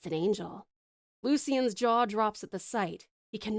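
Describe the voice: Quiet surroundings, plain reading aloud, and ordinary movement in pitch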